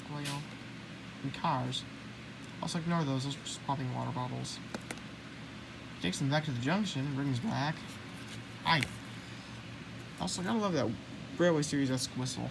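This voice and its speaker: A woman with an American accent, a very deep, low pitch and lively intonation, long, frequent pauses, audible room echo and noticeable background noise. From United States. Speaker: YouTuber, toy book collector. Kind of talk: casual show-and-tell video. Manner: fast; halting, self-correcting.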